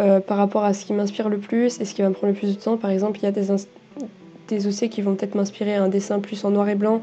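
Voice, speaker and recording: A woman with a medium-pitched voice speaks very fast in a monotone, flat intonation over noticeable background noise. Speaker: artist youtuber. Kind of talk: casual vlog narration over drawing. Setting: at home desk. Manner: hesitant, many fillers.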